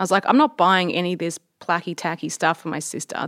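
In a very clean recording with a silent background and a dry, close sound with no echo, a woman with an Australian accent speaks at a very fast pace. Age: 30s. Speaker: entrepreneur and engineer. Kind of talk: interview.

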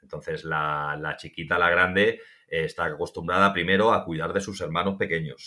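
Lively intonation marks this man's bright, sharp voice. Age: 40s. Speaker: survival instructor. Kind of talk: interview.

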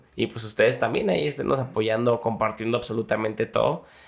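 With a Jalisco accent, a man speaks at a fairly quick pace and medium pitch, with vocal fry and ordinary pitch variation. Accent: Mexican Spanish, Jalisco. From Mexico, Jalisco (Zapotlanejo). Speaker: singer. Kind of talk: casual chat.

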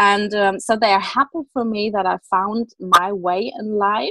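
In a German accent, the voice shows ordinary pitch variation with a dry, close sound and no echo. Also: woman. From Germany. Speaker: self-love and confidence coach. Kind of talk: interview. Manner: halting.

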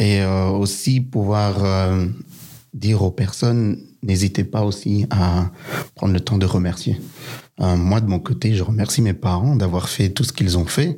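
At a fairly slow pace, a man speaks with a fairly low pitch and ordinary pitch variation. His loudness stays very even, broken by long, frequent pauses. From Belgium. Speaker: son of refugees. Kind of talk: testimony.

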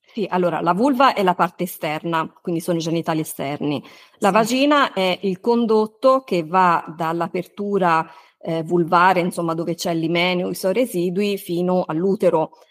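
A woman with a normal speaking voice talks at a moderate pace in a fairly low register, with ordinary pitch variation and a dry, close sound with no echo. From Tuscany, Italy. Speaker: gynecologist and podcaster. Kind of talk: interview.

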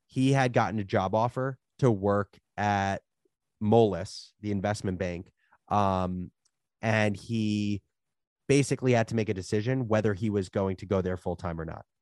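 A man with an American accent has an unremarkable speaking voice, fairly low in pitch with fairly even intonation. He talks at a moderate pace in a dry, close sound with no echo against a quiet background. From New Jersey. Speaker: media startup founder. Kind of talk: interview conversation.

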